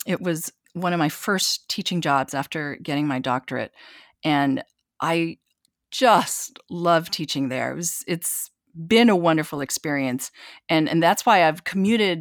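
With a dry, close sound with no echo, a woman with an American accent speaks fairly slowly in a plain, everyday voice, fairly low in pitch with ordinary variation. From eastern Washington, US. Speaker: concert pianist and entrepreneur. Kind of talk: interview.

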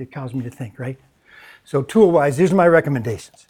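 A man with an American accent speaks very fast in a dark, mellow tone that is somewhat breathy. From US, Mennonite community. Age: 60s. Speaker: discipleship school director and adjunct professor. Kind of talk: conference talk. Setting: conference session with audience.

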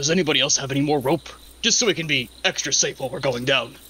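Over clear background noise, a man puts on a character voice at a fairly high pitch. He talks at a very fast pace. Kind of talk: comic character voice. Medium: actual play.

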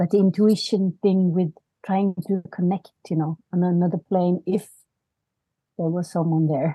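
A woman speaks fairly slowly in a fairly low, somewhat breathy voice with a dark, mellow tone. Her intonation is monotone and flat, and the sound is dry and close with no echo. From Norway, born in South Korea. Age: 40s. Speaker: podcast guest, spiritual seeker. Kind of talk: casual chat. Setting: video call.

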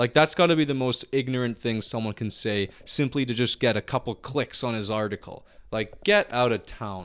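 Speaking with an unremarkable speaking voice, a man at medium pitch uses ordinary pitch variation and a moderate pace with hardly any pauses, recorded very cleanly against a silent background. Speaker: podcast co-host. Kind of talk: angry rant, swearing and insulting a clickbait writer. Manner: furious, loud, exasperated, spitting out insults.

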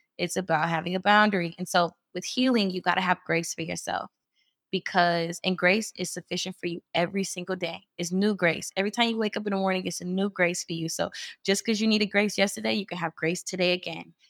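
A woman with an American accent speaks at a very fast pace with fairly even intonation, in a dry, close sound with no echo on a very clean recording with a silent background. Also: medium pitch for a woman. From US Midwest. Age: 20s. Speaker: women's organization leader. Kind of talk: casual interview about faith and healing.

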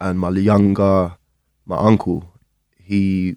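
A man's very deep, low-pitched voice. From London, England. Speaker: guitarist and producer. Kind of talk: casual interview chat.

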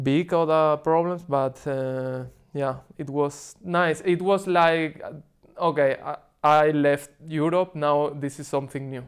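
Speaking with a Spanish accent, this man has a fairly high pitch. His pace is fairly slow and his intonation fairly even. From Spain, Seville. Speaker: cycling tourist. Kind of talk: casual interview.

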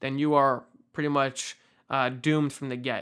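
A man's fairly high voice comes across with a bright, sharp tone. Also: very clean recording, silent background. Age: 20s. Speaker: investing YouTuber. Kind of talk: casual monologue to camera. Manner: animated.

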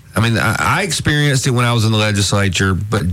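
Here a man with an Alabama accent speaks at a moderate pace in a fairly low pitch with ordinary pitch variation. Noticeable background noise and audible room echo come through. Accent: Southern US (Alabama). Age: 50s. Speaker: radio talk show host. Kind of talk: talk radio chat.

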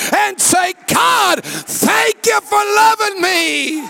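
A man shouting in an animated tone, ordinary pitch variation, noticeable background noise behind him. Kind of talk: sermon. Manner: animated, call-and-response preaching that urges the congregation to shout and clap; fervent, rising and falling, with pauses for the crowd to answer.

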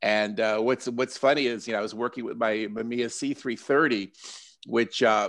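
An American-accented man with an ordinary speaking voice and medium pitch talks at a fairly quick pace against a quiet background. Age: 60s. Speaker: portrait photographer. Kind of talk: casual interview chat.

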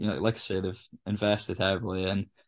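A man speaks at a moderate pace in a fairly low pitch with a northeast Scottish accent, his intonation monotone and flat against a quiet background. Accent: Scottish (north-east). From Scotland, Aberdeen. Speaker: footballer. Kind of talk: interview.

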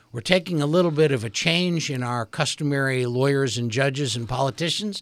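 A man with an unremarkable speaking voice, ordinary pitch variation and a moderate pace, in a dry, close sound with no echo. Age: 60s. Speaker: radio host and attorney. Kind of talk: radio interview. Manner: formal.

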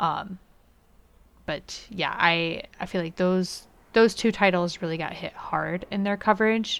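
On a very clean recording with a silent background, a woman with an unremarkable speaking voice talks at a fairly slow pace, her medium pitch carrying fairly even intonation. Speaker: podcast host. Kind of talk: casual podcast chat.

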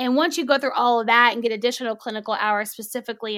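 Her voice is a normal speaking voice, fairly high for a woman, with fairly even intonation. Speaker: sex therapist. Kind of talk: advice-giving interview chat.

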